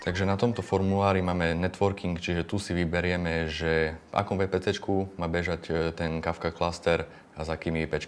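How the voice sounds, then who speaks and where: Flat, monotone intonation at a moderate pace. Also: man. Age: 20s. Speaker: data engineer. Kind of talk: tutorial.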